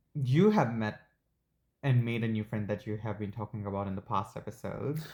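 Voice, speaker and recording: Fairly low-pitched, a man with a non-native accent talks at a fairly quick pace with ordinary pitch variation. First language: not English. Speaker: podcast co-host. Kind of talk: casual chat.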